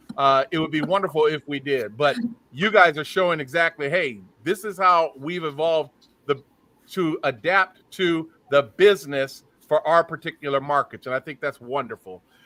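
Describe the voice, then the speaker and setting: Loud and with a bright, sharp tone, a man with fairly high pitch talks at a moderate pace with ordinary pitch variation, the sound dry and close with no echo. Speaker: photography association host. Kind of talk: live online panel chat.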